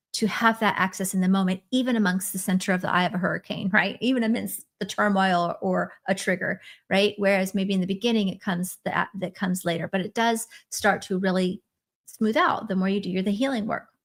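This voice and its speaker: Woman at a medium pitch, somewhat breathy, with fairly even intonation and a fairly quick pace, on a very clean recording with a silent background. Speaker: spiritual coach. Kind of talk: live stream teaching. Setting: live stream. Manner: fast.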